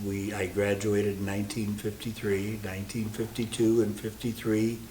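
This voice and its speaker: A man with an American accent speaks at a fairly slow pace and fairly low pitch, with fairly even intonation. Audible room echo and noticeable background noise accompany his voice. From Iowa, US Midwest. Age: 80s+. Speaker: longtime parishioner. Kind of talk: interview reminiscence. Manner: halting with many fillers.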